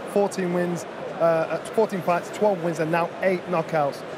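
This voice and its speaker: A man speaks with a dry sound and no echo. Noticeable noise sits in the background. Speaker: boxing pundit. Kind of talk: commentary. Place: stadium. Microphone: handheld.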